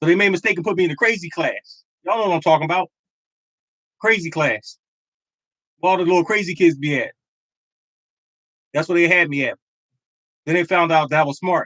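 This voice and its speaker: In a dry, close sound with no echo, a man with a high pitch and a bright, sharp tone talks very fast with fairly even intonation and long, frequent pauses. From Philadelphia, US. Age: 50s. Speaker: lottery show host. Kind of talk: casual livestream chat.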